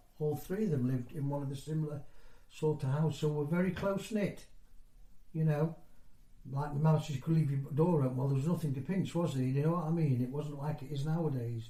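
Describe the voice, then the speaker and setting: A man talks at a fairly quick pace in a dark, mellow, somewhat breathy tone. His intonation is fairly even, and audible room echo surrounds him. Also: fairly high pitch for a man. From northeast England (County Durham), moved to Nottinghamshire at seven. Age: 60s. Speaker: former mining community resident. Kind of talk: oral history interview. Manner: conversational, hesitant with fillers.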